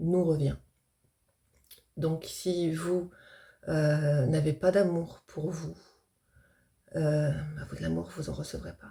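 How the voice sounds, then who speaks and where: Long, frequent pauses break up speech that moves very slowly. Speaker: medium, spiritual video creator. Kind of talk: casual explanatory talk to camera. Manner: hesitant, many fillers.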